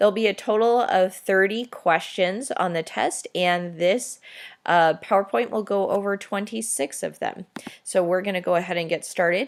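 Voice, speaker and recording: A woman's voice at medium pitch, an ordinary speaking voice, with ordinary pitch variation and a moderate pace, in a very clean recording with a silent background. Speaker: teacher. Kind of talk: exam review tutorial.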